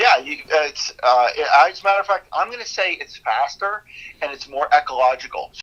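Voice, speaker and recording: The speaker moves at a fairly quick pace with very wide pitch swings. Loudness also swings widely. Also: man, high pitch for a man. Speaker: business owner. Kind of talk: casual interview chat. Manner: cheerful.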